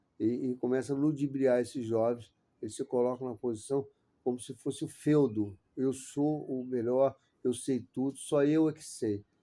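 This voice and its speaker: A man's medium-pitched, dark and mellow voice at a moderate pace, with fairly even intonation and big swings in loudness. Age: 60s. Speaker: capoeira master and interviewer. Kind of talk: interview. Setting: host's study centre.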